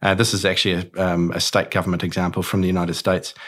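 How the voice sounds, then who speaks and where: A man with a New Zealand accent and a very deep, low pitch, on a very clean recording with a silent background. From New Zealand, Auckland. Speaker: cybersecurity company co-founder. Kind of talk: interview.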